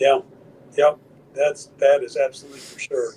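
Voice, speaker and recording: A man at a fairly quick pace. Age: 60s. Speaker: gun owner in self-defense case. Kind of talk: podcast interview.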